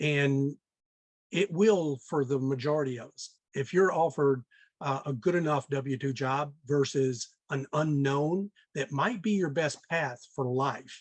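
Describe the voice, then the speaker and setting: A man speaks at a fairly slow pace with an American accent. His pitch is fairly high, with ordinary variation. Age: 60s. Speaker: real estate investor. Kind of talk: podcast interview. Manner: many filler words and hesitations.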